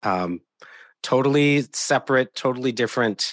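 An American-accented man with an unremarkable speaking voice talks at a moderate pace with ordinary pitch variation, the sound dry and close with no echo. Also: quiet background. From US Midwest, southeast Wisconsin near Milwaukee. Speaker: nurse and patient safety specialist. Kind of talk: interview.

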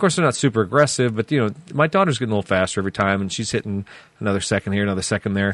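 Recorded dry and close with no echo, a man with a Midwestern American accent talks with lively intonation. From US Midwest, central Illinois. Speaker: car podcast co-host. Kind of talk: casual chat.

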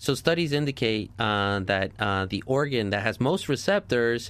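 A man's medium-pitched voice with a slight New York accent and ordinary pitch variation, in a very clean recording against a silent background. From New Jersey. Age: 30s. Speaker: doctor. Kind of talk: radio interview.

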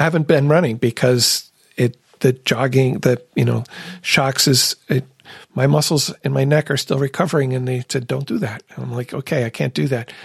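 A somewhat breathy man speaks at medium pitch and a moderate pace. His intonation is fairly even, and the sound is dry and close with no echo. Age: 60s. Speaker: podcast host. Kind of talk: casual conversation. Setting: studio.

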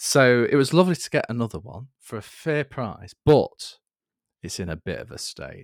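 A man's medium-pitched voice with vocal fry, very wide pitch swings and big swings in loudness, at a moderate pace in a very clean recording with a silent background. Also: dry, close sound with no echo. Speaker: podcast host. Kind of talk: casual chat.

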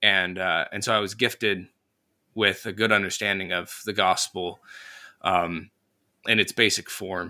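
A man with a US Midwestern accent speaks fairly slowly in a very deep, low pitch, his tone bright and sharp and his intonation monotone and flat. Long, frequent pauses break up his speech on a very clean recording with a silent background. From northern Indiana, US Midwest. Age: young. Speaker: Sunday school teacher and podcaster. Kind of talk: casual interview.

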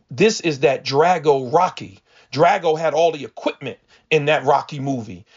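This man's voice sits at a fairly high pitch. His pitch varies in an ordinary way. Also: moderate pace. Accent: American. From New Jersey (Paterson), urban. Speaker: pastor and seminary president. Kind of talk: casual interview.

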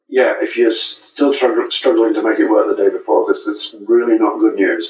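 This is a man speaking with an English accent. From England. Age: 60s. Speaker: saxophonist and music educator. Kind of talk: interview. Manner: halting. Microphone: poor audio over unreliable internet.

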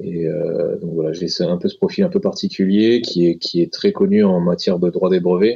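A man speaks at a moderate pace. There are hardly any pauses. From France, Grenoble. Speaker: intellectual property lawyer. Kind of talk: interview.

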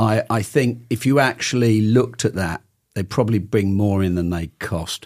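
With a British accent, a man speaks at a moderate pace in a fairly low pitch with ordinary pitch variation. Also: very clean recording, silent background. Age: 60s. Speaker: outdoor gear company owner. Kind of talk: casual chat.

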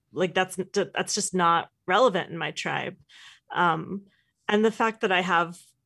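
In an American accent, a woman with a medium pitch, ordinary pitch variation and vocal fry speaks at a moderate pace against a quiet background. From US Northeast (New Jersey). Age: 30s. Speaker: author. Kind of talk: interview conversation. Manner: hesitant with fillers.

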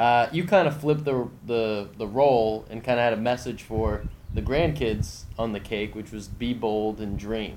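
A man's medium-pitched voice at a moderate pace, with ordinary pitch variation and audible room echo. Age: 20s. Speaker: podcast host. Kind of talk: podcast intro monologue; casual interview. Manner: hesitant with many fillers.

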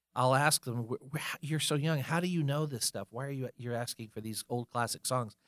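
A normal speaking voice with an American accent goes at a fairly quick pace with ordinary pitch variation. The very clean recording has a silent background and a dry, close sound with no echo. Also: man, medium pitch for a man. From North Carolina, Fayetteville. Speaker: musician and music event organizer. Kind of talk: interview.

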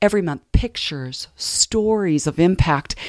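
Heard in a very clean recording with a silent background and a dry, close sound with no echo, a woman has an unremarkable speaking voice. She speaks at a moderate pace and medium pitch with lively intonation. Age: 50s. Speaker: professional counselor and speaker. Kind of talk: interview. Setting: studio. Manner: soft-spoken.

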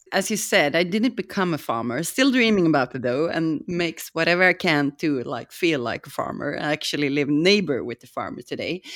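A woman with a Swedish accent talks at a moderate pace in a fairly low pitch, her intonation lively. The recording is very clean with a silent background. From Sweden. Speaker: restaurant owner. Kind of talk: casual chat.

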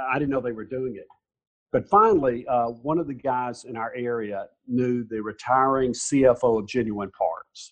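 This man's voice sits at medium pitch, and its pitch varies in an ordinary way. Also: moderate pace, big swings in loudness. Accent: Southern US. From US South, Alabama (Mountain Brook). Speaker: nonprofit founder. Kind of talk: interview. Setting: video call.

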